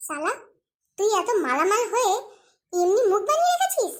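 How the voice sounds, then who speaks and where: Squeaky and extremely high-pitched, a woman performs a cartoonish character voice. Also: moderate pace. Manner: excitable, interrupting.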